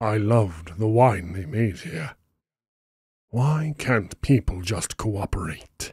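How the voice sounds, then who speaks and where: Someone performs a put-on character voice. The delivery moves at a fairly slow pace. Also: man, fairly low pitch for a man. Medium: read story. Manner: calm, condescending.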